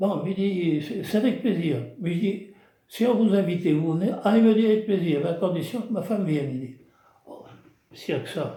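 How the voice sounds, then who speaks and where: A man speaks at a high pitch and a moderate pace, his tone dark and mellow with ordinary pitch variation. His loudness swings widely, and room echo is audible. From southwest France (Gironde village). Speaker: retired craftsman, village storyteller. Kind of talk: casual storytelling interview. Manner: halting, repetitive.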